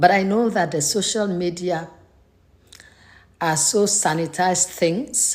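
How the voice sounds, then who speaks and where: A woman speaks with a Nigerian accent. Her pace is fairly slow, with ordinary pitch variation. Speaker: faith vlogger. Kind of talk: personal vlog monologue. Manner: hesitant, many fillers.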